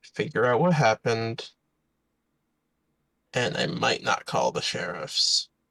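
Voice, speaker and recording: In a put-on character voice, a man whispers raspily at a fairly slow pace, leaving long, frequent pauses. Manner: whispering.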